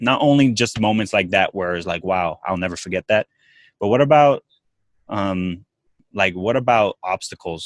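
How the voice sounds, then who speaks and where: A man with an unremarkable speaking voice talks at a moderate pace in a fairly low pitch, captured in a very clean recording with a silent background. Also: ordinary pitch variation, dry, close sound with no echo. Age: 20s. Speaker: podcast host. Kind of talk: casual interview chat.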